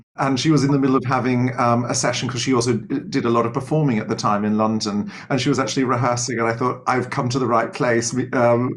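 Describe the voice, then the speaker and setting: Words come at a very fast pace with fairly even intonation. Room echo is audible. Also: man, medium pitch for a man. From Australia, Sydney. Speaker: choral conductor and music teacher. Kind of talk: interview. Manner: hesitant, many fillers.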